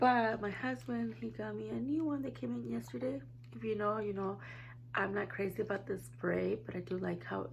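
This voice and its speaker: Noticeable background noise and audible room echo around a woman talking. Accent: American. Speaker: beauty vlogger. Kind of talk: casual chat.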